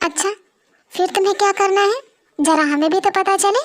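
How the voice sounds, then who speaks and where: In a put-on character voice, a woman squeaks at an extremely high pitch. Her pace is moderate. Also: ordinary pitch variation. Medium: audio drama.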